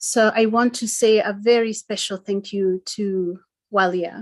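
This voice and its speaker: A woman with a Kenyan accent speaks at a fairly slow pace. Her intonation is fairly even, and the background is quiet. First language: Gikuyu. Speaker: event presenter. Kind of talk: online talk presentation. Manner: halting.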